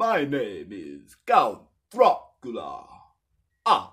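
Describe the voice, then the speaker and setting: A put-on character voice from a man, delivered at a very slow pace. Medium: solo performance. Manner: theatrical, boastful.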